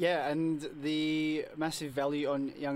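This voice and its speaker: The background is silent on this very clean recording. A man talks in an Australian accent. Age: 20s. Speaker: community radio co-host. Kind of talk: casual chat and interview. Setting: studio. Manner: mumbles a bit.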